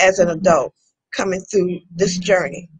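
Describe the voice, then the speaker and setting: A woman of medium pitch talks at a moderate pace, sounding somewhat breathy. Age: 70s. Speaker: civil rights organization member. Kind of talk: interview.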